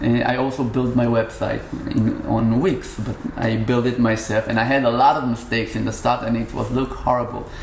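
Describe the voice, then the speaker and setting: A man with an Israeli accent at a medium pitch and moderate pace, fairly even in intonation, with audible room echo and noticeable background noise. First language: Hebrew. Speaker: musician. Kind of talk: casual interview. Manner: halting.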